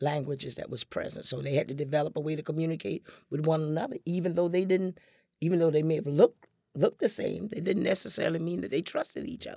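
With an American accent, a woman speaks at a very fast pace in a very deep, low pitch. Her voice shows vocal fry and ordinary pitch variation. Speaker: storyteller and performer. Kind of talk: radio interview. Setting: studio.

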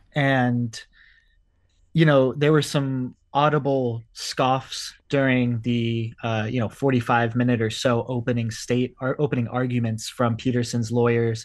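At a fairly slow pace, a man with a plain, everyday voice speaks at a medium pitch with fairly even intonation. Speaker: court reporter. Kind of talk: radio interview.

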